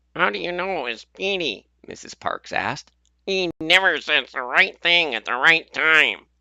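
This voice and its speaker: Using a put-on character voice, a man speaks at a moderate pace with a high pitch, lively intonation and big swings in loudness. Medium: read story.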